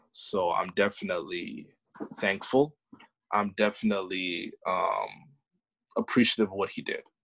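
A man talks at a moderate speed, pausing often and at length. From New York (Bronx). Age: young. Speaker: podcast guest sharing family story. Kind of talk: casual interview.

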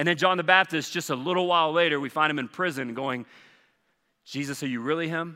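A man's bright, sharp, animated voice in a Southern US accent, at a fairly quick pace on a very clean recording with a silent background. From US South, Charleston. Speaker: pastor. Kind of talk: sermon.

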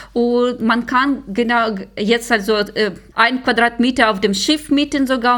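Delivered at a fairly slow pace, the speech shows ordinary pitch variation. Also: woman. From Ukraine. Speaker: security researcher. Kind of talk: interview.

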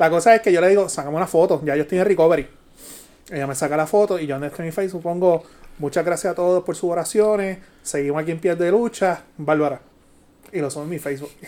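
Speaking very fast in a Puerto Rican accent, a man uses a high pitch. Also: ordinary pitch variation. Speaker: podcast host. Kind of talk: casual banter podcast.

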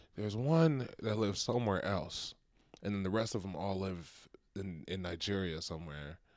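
This man has a normal speaking voice, fairly low in pitch, with lively intonation at a moderate pace. The recording is very clean, with a silent background. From Dallas, Texas (Nigerian-born). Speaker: stand-up comedian. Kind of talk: casual chat.

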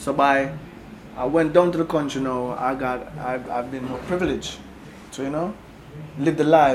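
Amid noticeable background noise and audible room echo, a man with a fairly high pitch and fairly even intonation speaks at a moderate pace with long, frequent pauses. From Kingston, Jamaica. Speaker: reggae singer. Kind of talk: interview. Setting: record label office.

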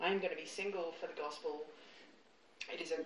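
Very fast speech over noticeable background noise. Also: woman. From England. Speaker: writer and environmental consultant. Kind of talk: casual interview chat. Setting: in her lounge room. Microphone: recorded on a phone, poor audio quality.

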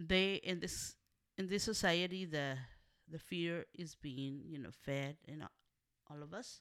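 In a very clean recording with a silent background, a woman with a Spanish accent and a fairly low pitch speaks at a fairly slow pace, with long, frequent pauses and big swings in loudness. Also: ordinary pitch variation. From Mexico, Monterrey, Nuevo León. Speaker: community organizer. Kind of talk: interview.

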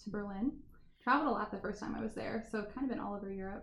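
In an American accent with vocal fry, the speech runs at a very fast pace with fairly even intonation and audible room echo. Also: woman. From US Midwest, Indiana. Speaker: restaurant and wine bar owner. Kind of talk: casual interview chat.

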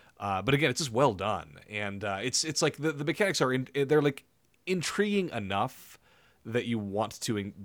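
Animated in tone and lively in intonation, a man of medium pitch speaks at a moderate pace on a very clean recording with a silent background. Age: 30s. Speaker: video game podcast host. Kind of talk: casual chat.

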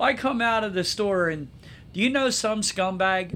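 A man talks with lively intonation. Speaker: podcast host, travel agent. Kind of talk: casual chat. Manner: stutters at times.

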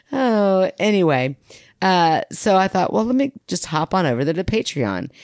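A woman's pitch swings very widely as she talks at a moderate pace, the background quiet. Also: dry, close sound with no echo. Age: 40s. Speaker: podcast co-host. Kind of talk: casual chat.

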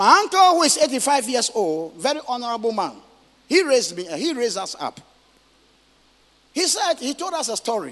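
A man speaks at an extremely high pitch with big pitch swings. His tone is fairly bright and his pace moderate.

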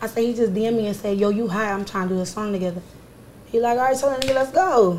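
A woman with an American accent talks very fast at a fairly high pitch, with ordinary pitch variation and audible room echo. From Philadelphia. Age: 20s. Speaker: rapper. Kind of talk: casual chat; tutorial.

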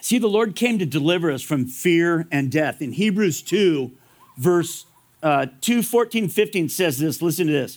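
A high-pitched man with an American accent and lively intonation, at a moderate pace, on a very clean recording with a silent background. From Southern California. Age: 60s. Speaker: pastor. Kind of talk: sermon.

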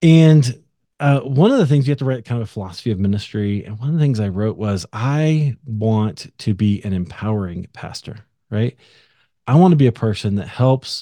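With lively intonation, a man speaks at medium pitch in an unremarkable speaking voice, captured on a very clean recording against a silent background. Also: moderate pace. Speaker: podcaster and ministry founder. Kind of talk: casual interview chat.

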